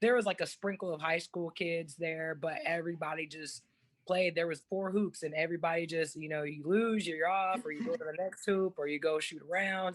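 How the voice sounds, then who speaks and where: A woman with an American accent and a plain, everyday voice speaks fairly quickly at a fairly low pitch with ordinary pitch variation, on a very clean recording with a silent background. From Texas, Dallas. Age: 30s. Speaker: former pro basketball player, motivational speaker. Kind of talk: podcast interview.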